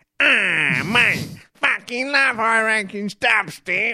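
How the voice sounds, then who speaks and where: A put-on character voice, fairly high in pitch, delivers lines at a very slow pace. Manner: slurred, crude, exaggerated voice.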